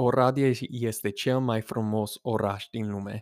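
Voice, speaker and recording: A man at medium pitch speaks at a very slow pace with fairly even intonation, in a dry, close sound with no echo and a very clean recording with a silent background. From United States. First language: English (speaking Romanian). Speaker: podcast host. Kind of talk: casual monologue. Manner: halting.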